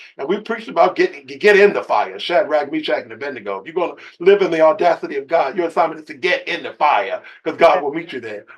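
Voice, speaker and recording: A man's high-pitched, animated voice at a very fast pace, with lively intonation and big swings in loudness. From US, urban projects. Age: 60s. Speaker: bishop, author and TV producer. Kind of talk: interview conversation.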